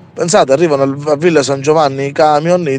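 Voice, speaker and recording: Over noticeable background noise, a man with a fairly high pitch talks at a fairly quick pace in an angry tone, his intonation fairly even. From Calabria. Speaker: activist protester. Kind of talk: angry rant. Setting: outdoors at a protest, remote link-up. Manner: angry, indignant, stumbling and repeating words.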